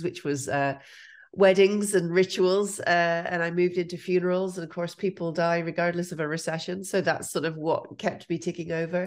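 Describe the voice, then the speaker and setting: Flat, monotone intonation from a woman with a fairly low pitch and an Irish accent. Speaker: entrepreneurship lecturer. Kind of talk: interview. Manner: careful enunciation.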